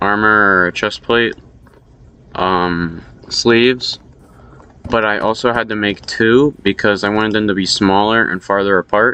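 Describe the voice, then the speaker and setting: Mumbled words come with fairly even intonation and a dry, close sound with no echo. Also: man. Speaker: Minecraft map builder. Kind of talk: casual progress update narration. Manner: mumbling, hard to hear.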